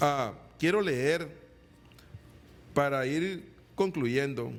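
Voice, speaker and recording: A man talks at a medium pitch with lively intonation. Room echo can be heard. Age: 60s. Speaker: evangelical preacher. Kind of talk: sermon. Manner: halting, repeats words.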